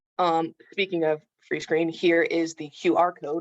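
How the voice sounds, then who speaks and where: A woman's fairly low, monotone, flat voice, with a dry, close sound and no echo. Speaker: occupational therapist. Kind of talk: webinar presentation. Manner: fast.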